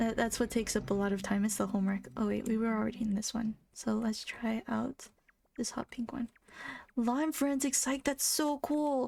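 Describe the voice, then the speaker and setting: A woman's fairly high, somewhat breathy voice has a dark, mellow tone and very even loudness. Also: moderate pace, very clean recording, silent background. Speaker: video game streamer. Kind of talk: casual chat. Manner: monotone.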